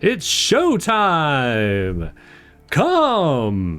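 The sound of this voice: Bellowing in a put-on character voice, a man speaks at a fairly high pitch.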